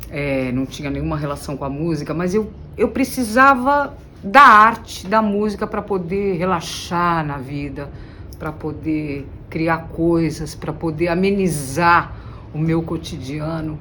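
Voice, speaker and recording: In a room with audible echo, a woman with a fairly low pitch and lively intonation speaks at a fairly slow pace. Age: 60s. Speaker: singer-songwriter. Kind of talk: interview monologue.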